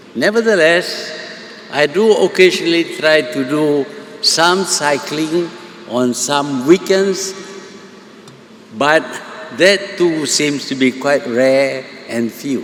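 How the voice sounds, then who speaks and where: Over noticeable background noise, a man speaks very slowly in a fairly high pitch. Long, frequent pauses break up his speech, which has ordinary pitch variation. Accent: Malaysian. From Malaysia, Kedah. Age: 80s+. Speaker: prime minister. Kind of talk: public speech.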